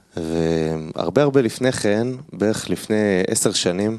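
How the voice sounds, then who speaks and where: Against a quiet background, a man is speaking. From Israel, Haredi family. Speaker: kabbalah student. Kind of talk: personal testimony.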